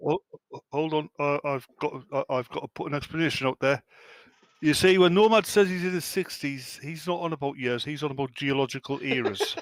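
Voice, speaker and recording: Talking at a fairly quick pace with an English accent, a man of fairly high pitch and ordinary pitch variation sounds dry and close, with no echo. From England. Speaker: podcast co-host. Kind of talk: casual chat.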